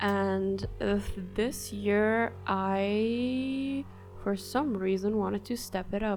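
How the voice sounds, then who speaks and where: Music plays in the background. The speech comes at a very slow pace with very even loudness. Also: woman. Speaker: artist and video creator. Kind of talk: casual vlog review. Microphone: poor audio.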